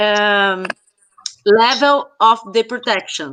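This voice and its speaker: A woman with a Brazilian Portuguese accent and lively intonation. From Brazil, São Paulo State coast (caiçara). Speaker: researcher of popular culture. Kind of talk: casual chat. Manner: halting.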